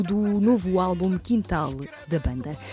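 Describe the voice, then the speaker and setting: Over music in the background, a woman with a fairly low pitch speaks with lively intonation. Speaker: radio journalist. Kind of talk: radio interview questions.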